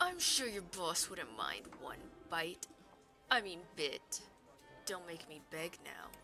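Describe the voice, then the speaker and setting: Clear music plays behind a put-on character voice at middle pitch that moves at a fairly slow pace. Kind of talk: let's play game commentary.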